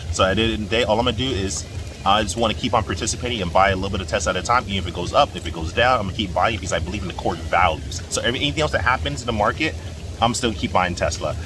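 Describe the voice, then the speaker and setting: A man with a very deep, low voice talks at a very fast pace with ordinary pitch variation, over noticeable background noise and audible room echo. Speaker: stock investing YouTuber. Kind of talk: casual vlog monologue. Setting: in a jacuzzi. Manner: unscripted, hesitant with fillers.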